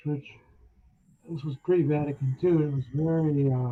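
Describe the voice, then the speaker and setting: Fairly high-pitched, somewhat breathy speech from a man, with fairly even intonation at a moderate pace. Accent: American. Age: 70s. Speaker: author and spiritual practitioner. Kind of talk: interview storytelling.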